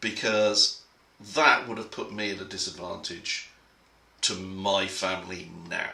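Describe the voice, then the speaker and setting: With an English accent, a man of fairly low pitch speaks at a fairly slow pace amid audible room echo and noticeable background noise. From England. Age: middle-aged. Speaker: conference speaker. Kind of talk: prepared talk. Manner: halting.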